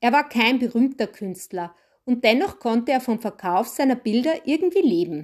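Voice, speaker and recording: A woman speaks at a moderate pace in a high voice. Her pitch swings very widely, and the recording is very clean with a silent background. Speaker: podcast host and storyteller. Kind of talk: storytelling narration.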